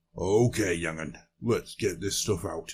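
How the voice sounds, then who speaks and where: A man's put-on character voice, raspy and fairly low in pitch, at a fairly slow pace. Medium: read story. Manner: gruff, blunt.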